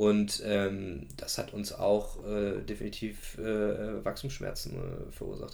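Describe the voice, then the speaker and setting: A man's fairly low voice carries vocal fry. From Germany, Gießen (central Hesse). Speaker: startup founder. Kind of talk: interview. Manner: many filler sounds.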